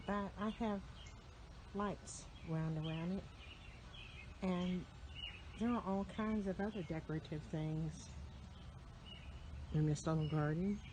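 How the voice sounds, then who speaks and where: A woman whispers at a fairly slow pace, her loudness very even. She leaves long, frequent pauses. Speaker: farm and garden vlogger. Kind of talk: casual garden tour vlog. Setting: outdoors on a garden bench. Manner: whispering; relaxed with filler ums.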